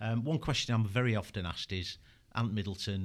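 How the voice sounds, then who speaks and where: Over a silent background in a very clean recording, a man talks at a fairly quick pace with a Yorkshire accent. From Yorkshire, England. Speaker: former military interrogation instructor and consultant. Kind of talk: casual interview chat.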